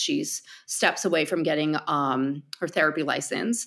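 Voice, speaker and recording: In a very clean recording with a silent background, a woman with a New Jersey accent speaks at a fairly low pitch with ordinary pitch variation. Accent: New Jersey American. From New Jersey, US. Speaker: artist and opera singer, voice teacher. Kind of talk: casual interview chat. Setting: home voice studio, wearing AirPods. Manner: halting, repeats words.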